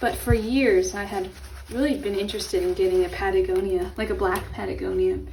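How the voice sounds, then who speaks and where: With an American accent, a woman speaks at a fairly quick pace amid noticeable background noise and audible room echo. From Los Angeles, California. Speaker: lifestyle and art YouTuber. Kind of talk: casual vlog tutorial. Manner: casual, chatty.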